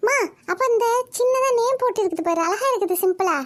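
A woman performs a cartoonish character voice at an extremely high pitch, with lively intonation, very even loudness and a moderate pace.

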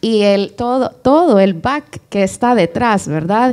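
The tone is dark and mellow, with ordinary pitch variation. The background is quiet. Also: woman. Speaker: interviewer, event moderator. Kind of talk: interview. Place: stage. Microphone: handheld.

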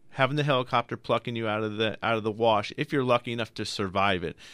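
A man's plain, everyday voice at a fairly quick pace, with ordinary pitch variation and a quiet background. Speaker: radio car show host. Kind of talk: call-in radio show. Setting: radio studio. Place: studio. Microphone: studio mic.

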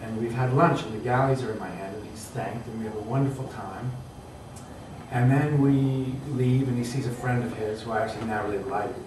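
At a fairly quick pace, a man talks with fairly even intonation. There is noticeable background noise and audible room echo. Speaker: writer and teacher. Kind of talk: panel discussion. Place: hall. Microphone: camera far.

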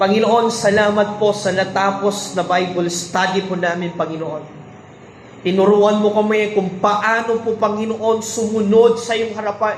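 Noticeable background noise beneath a man speaking at a high pitch. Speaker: church Bible study leader praying. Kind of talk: fervent intercessory prayer over a livestream, declaring healing and blessing. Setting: online livestream after a Bible study. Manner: fervent, pleading, repeating 'I declare' in rising, emphatic bursts; code-switching between Tagalog and English, some stumbling repetition.

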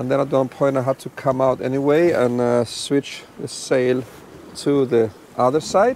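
Light background noise sits under a man's voice, which has a dry sound with no echo. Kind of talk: casual vlog chat. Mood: relaxed and content. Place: boat. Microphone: lapel.

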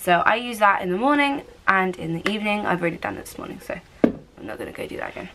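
Over noticeable background noise, a woman with a British accent speaks at a very fast pace in an upbeat tone. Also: ordinary pitch variation. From United Kingdom. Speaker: lifestyle vlogger. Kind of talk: casual talk to camera. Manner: chatty, upbeat. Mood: relaxed, cheerful. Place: home room. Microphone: phone near.

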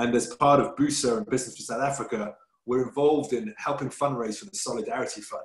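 Talking at a very fast pace, a man uses a medium pitch with ordinary pitch variation and a somewhat breathy voice. The background is quiet, but the room echo is audible. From England. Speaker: business chamber president, webinar host; webinar host. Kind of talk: webinar moderation. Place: home room. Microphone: video call.

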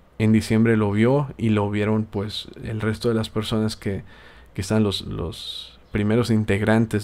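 With a South American accent, a man talks at a fairly slow pace. His fairly low voice has monotone, flat intonation. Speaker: gaming youtuber and podcast host. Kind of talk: casual podcast monologue.

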